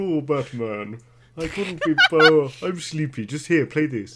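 A man puts on a character voice, drawling at a fairly slow pace. The pitch sits fairly high. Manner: sleepy, lazy, drawling.

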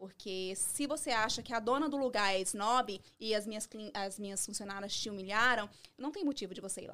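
Her bright, sharp tone sits at a fairly high pitch as the woman varies her pitch in an ordinary way. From Brazil, Minas Gerais. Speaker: beauty salon owner, esthetician. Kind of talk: podcast interview.

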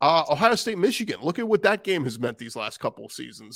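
A man speaks with vocal fry and very wide pitch swings. The sound is dry and close with no echo, on a very clean recording with a silent background. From New Orleans. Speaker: sports podcast host. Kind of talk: casual chat.

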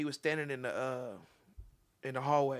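Talking at a very fast pace, a man with an American accent has a fairly high pitch. His intonation stays fairly even. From Topeka, Kansas (central Topeka). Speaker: singer. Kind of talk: casual chat.

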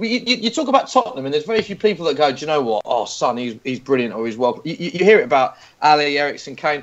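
Over noticeable background noise, a man speaks at a very fast pace with hardly any pauses. His pitch is fairly high and swings very widely. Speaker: football pundit and TV presenter. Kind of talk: panel discussion, casual football chat.

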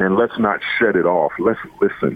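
A man in an American accent speaks at a fairly slow pace with ordinary pitch variation. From US East Coast, Baltimore. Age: 50s. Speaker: college football coach. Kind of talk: radio interview. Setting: phone call. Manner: halting.

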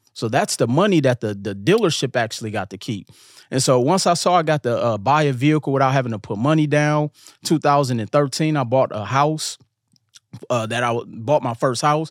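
A man with a medium pitch talks at a fairly quick pace with lively intonation, on a very clean, silent-background recording that sounds dry and close with no echo. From Milwaukee, Wisconsin, US Midwest. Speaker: real estate investor and credit coach. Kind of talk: casual interview.

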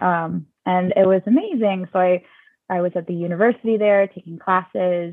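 A woman with an American accent, an ordinary speaking voice and fairly low pitch, at a moderate pace with fairly even intonation. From US South, Georgia. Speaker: yoga instructor and Montessori teacher. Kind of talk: casual interview.

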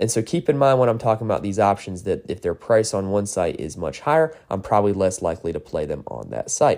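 A man's very fast, lively-intoned speech in a fairly low pitch with a dark, mellow tone. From North Carolina. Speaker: sports betting podcaster. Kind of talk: solo podcast preview. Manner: casual, filler-heavy.

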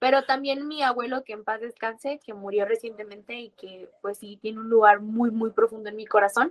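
A woman's unremarkable speaking voice, fairly high in pitch, at a moderate pace with fairly even intonation, big swings in loudness and hardly any pauses, in a dry, close sound with no echo. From Mexico. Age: 20s. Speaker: university student and libertarian activist. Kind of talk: interview.

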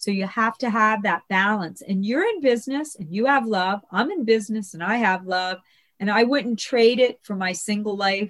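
Fairly high-pitched and in a plain, everyday voice, a woman at a moderate pace with ordinary pitch variation. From US, Italian-American family. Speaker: matchmaker. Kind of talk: interview.

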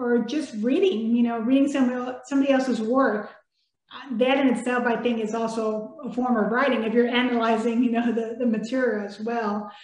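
A woman with a Spanish accent speaks in a high pitch. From Mexico, raised in San Antonio, Texas. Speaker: children's author and air force veteran. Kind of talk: interview.

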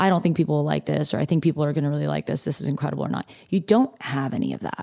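A woman with a West Coast US accent talks at a very fast pace. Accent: General American, West Coast. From California, near Los Angeles. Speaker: chef. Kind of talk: casual interview chat.

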